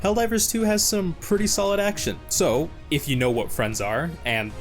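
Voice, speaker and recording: With music in the background, a man speaks at a moderate pace in a high pitch with very wide pitch swings. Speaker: gaming YouTuber. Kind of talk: comedic game review narration. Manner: dry, sarcastic.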